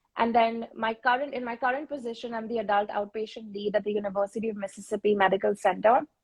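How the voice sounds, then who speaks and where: Talking at a very fast pace, a woman has a fairly high, somewhat breathy voice with fairly even intonation. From India (Mumbai). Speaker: speech-language pathologist, panelist. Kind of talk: panel discussion on live stream. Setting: Instagram live video stream.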